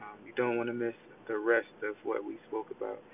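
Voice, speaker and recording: A man's voice amid noticeable background noise. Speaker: podcast co-host. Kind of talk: interview conversation.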